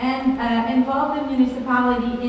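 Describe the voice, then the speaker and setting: Over noticeable background noise and audible room echo, a woman speaks fairly quickly at a high pitch in a flat monotone. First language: French. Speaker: francophone immigration presenter. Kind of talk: presentation. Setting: conference with audience. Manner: fast.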